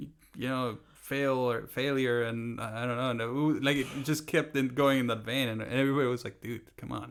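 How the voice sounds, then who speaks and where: A man's medium-pitched voice in a flat monotone, at a fairly quick pace with hardly any pauses. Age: 30s. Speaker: comedian. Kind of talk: casual chat. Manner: halting.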